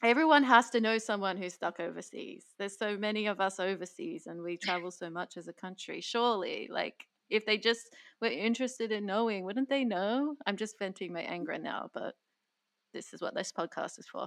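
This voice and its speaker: With an Australian accent, a woman speaks at a fairly quick pace in a medium pitch, her intonation lively and her loudness swinging widely, against a quiet background. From Queensland, Australia (Bundaberg). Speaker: podcast host. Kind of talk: interview.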